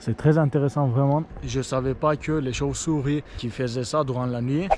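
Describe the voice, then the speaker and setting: With a Turkish accent, a man with a fairly high pitch speaks with fairly even intonation over noticeable background noise. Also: moderate pace. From Turkey. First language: Turkish (speaking French). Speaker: vlogger. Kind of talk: hiking vlog narration. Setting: outdoors. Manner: halting.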